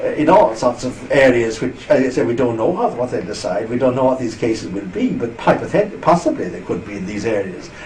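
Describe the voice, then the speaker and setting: A man at medium pitch, lively intonation and hardly any pauses, with noticeable background noise. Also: fairly quick pace. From Ireland. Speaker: interviewee on EU politics. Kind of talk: interview.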